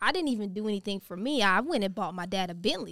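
On a very clean recording with a silent background, a woman speaks at a fairly quick pace and medium pitch with a bright, sharp tone and lively intonation. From Houston, Texas (Missouri City). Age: 30s. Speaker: financial educator. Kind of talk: casual interview.

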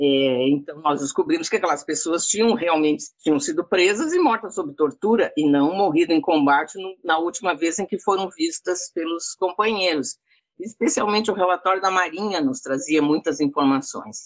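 A woman with a plain, everyday voice and fairly low pitch talks at a moderate pace with lively intonation. Her loudness stays very even, and the sound is dry and close with no echo. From southern Brazil, Rio Grande do Sul. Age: 60s. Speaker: activist, relative of a disappeared political prisoner. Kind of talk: interview.

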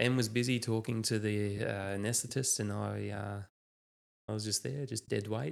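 Here a man speaks with an Australian accent at a moderate pace. His voice is fairly low in pitch and shows ordinary pitch variation. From Australia, New South Wales mid north coast. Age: 30s. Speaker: police officer. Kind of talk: casual chat.

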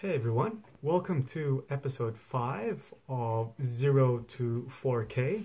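A man with a medium-pitched, somewhat breathy voice and a dark, mellow tone speaks at a very slow pace with hardly any pauses. His intonation is lively. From migrated to Australia at 12 from a non-English-speaking country. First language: not English. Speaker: podcast host, affiliate marketer. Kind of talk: solo podcast monologue. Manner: halting, many fillers.

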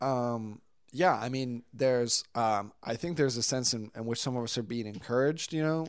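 At a moderate pace, a man speaks in an ordinary speaking voice of medium pitch. His pitch variation is ordinary, and the recording is very clean with a silent background. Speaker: worship leader. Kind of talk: casual chat. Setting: apartment recording.

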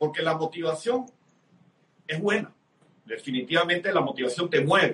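A fairly quick pace paired with ordinary pitch variation. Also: man. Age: 60s. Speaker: business speaker and network marketing leader. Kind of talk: interview.

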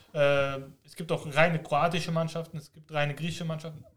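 A man uses a normal speaking voice with fairly even intonation. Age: 30s. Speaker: amateur football referee. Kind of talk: casual chat.

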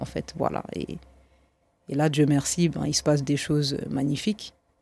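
A woman's very deep, low voice, dark and mellow in tone, with fairly even intonation. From northern France, Roubaix. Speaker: rapper. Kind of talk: interview conversation. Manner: hesitant, many repetitions; soft, precise diction.

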